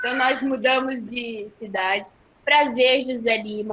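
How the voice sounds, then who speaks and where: A woman's fairly high voice, very slow in pace, with a bright, sharp tone. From Goiás, Brazil. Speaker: nursing professor. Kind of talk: webinar closing remarks. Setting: online live webinar.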